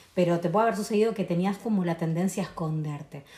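A woman speaks at a very fast pace. Her voice is somewhat breathy, with fairly even intonation. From Argentina, Tucumán. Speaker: podcast guest on astrology and spirituality. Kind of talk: casual chat.

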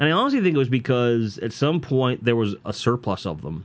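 A man with an American accent talks at a fairly quick pace in a normal speaking voice, his intonation lively. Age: 40s. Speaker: podcaster. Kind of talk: casual monologue. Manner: loose, filler-heavy.

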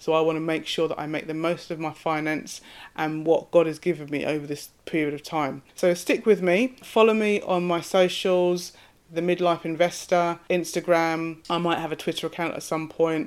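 With an ordinary speaking voice, a woman talks at a moderate pace in a fairly low pitch and fairly even intonation, in a very clean recording with a silent background. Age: 40s. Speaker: podcast host. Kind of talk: solo podcast monologue.

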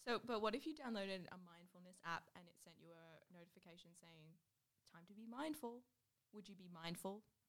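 Medium-pitched woman with an Australian accent, fairly quick pace, lively intonation and big swings in loudness. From Newcastle, Australia. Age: 20s. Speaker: student radio host. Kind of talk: casual chat.

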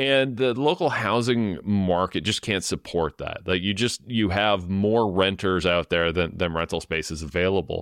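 Speaking in a plain, everyday voice, a man keeps a moderate pace with hardly any pauses and ordinary pitch variation, recorded with a dry, close sound and no echo. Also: fairly low pitch for a man. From Ontario, Canada (London). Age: 40s. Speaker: housing policy expert. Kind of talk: interview. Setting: video call.

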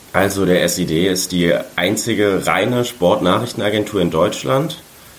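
A man speaks fairly slowly with a very deep, low pitch and ordinary pitch variation. Noticeable background noise and audible room echo fill the recording. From Saarland, Germany. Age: 20s. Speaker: sports journalist. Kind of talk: interview.

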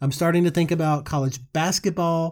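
A man with a Georgia accent speaks at a high pitch in an animated tone and a fairly quick pace. The recording is very clean, with a silent background. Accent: Southern American (Georgia). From US South, Rome, Georgia. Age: 40s. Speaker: sports podcast host. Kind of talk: solo sports commentary podcast.

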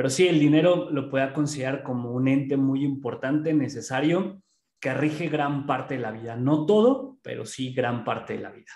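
A moderate pace in a central Mexican accent, with ordinary pitch variation and big swings in loudness. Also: man, fairly high pitch for a man. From Pachuca, Mexico. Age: 30s. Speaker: entrepreneur. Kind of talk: casual interview.

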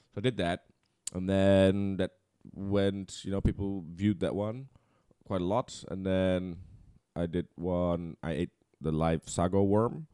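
A man with a Dutch accent speaks in a very deep, low voice with a dark, mellow tone and fairly even intonation. His pace is fairly slow with long, frequent pauses, and the sound is dry and close with no echo. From Netherlands. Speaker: content creator. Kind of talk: casual chat.

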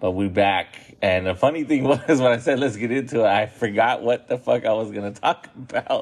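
With a plain, everyday voice, a man talks at a moderate pace and a medium pitch, with ordinary pitch variation and hardly any pauses. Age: 30s. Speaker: podcast host. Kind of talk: casual monologue.

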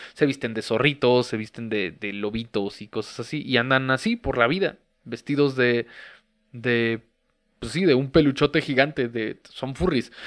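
A man speaks at a fairly slow pace. He talks with a Mexican accent. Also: medium pitch for a man, ordinary pitch variation. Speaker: podcast host. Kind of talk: casual monologue.

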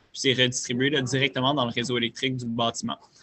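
Here a man speaks at medium pitch, very fast. His intonation is monotone and flat. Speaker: startup founder. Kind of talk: interview.

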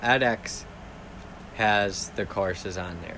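With noticeable background noise, a man talks at a fairly low pitch with fairly even intonation. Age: 30s. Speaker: podcast host. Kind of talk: casual solo talk. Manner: rambling, halting.

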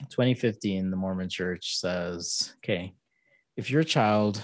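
A man's very deep, low voice with fairly even intonation, on a very clean recording against a silent background. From Jamaica. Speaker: podcast host. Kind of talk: casual chat.

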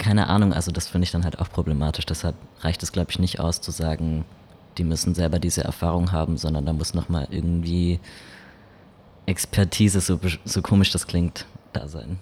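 Speaking at a fairly quick pace, a man with a very deep, low pitch and a dark, mellow tone leaves long, frequent pauses. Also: fairly even intonation. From Baden-Württemberg. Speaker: podcast co-host. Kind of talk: casual podcast discussion.

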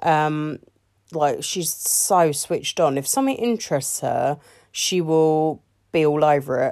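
In a very clean recording with a silent background, a woman speaks with a very deep, low pitch. Her intonation is lively and her pace fairly slow. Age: 30s. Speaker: parenting podcaster. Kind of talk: casual solo monologue. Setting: bedroom, in the dark. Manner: hesitant, many fillers.

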